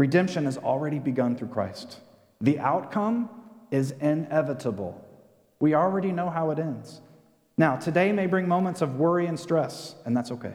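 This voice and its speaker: This man has a normal speaking voice, fairly high in pitch, with lively intonation and a moderate pace. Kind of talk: sermon. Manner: earnest, rallying call-and-response cadence.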